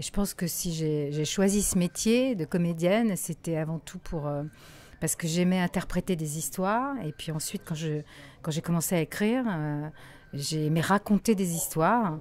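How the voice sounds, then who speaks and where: This is a plain, everyday voice with ordinary pitch variation, moving at a moderate pace. The recording is very clean, with a silent background. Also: woman, fairly low pitch for a woman. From Morocco. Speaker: voice actor. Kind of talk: interview answer.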